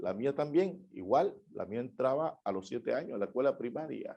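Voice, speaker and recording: Against a quiet background, a man with a plain, everyday voice speaks at a fairly high pitch and a moderate pace, with lively intonation. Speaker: judge giving a conference talk. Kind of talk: conference keynote speech. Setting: online conference.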